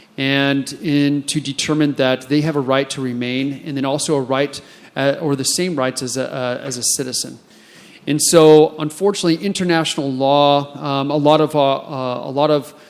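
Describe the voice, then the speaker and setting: Someone with an American accent speaks at a moderate pace with fairly even intonation over noticeable background noise. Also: man, fairly high pitch for a man. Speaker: immigration enforcement officer and conference panelist. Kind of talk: panel discussion.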